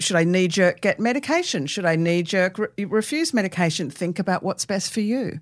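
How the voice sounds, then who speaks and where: This woman talks at a moderate pace with an Australian accent. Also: very clean recording, silent background. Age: 60s. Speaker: author and cartoonist. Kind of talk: casual interview chat.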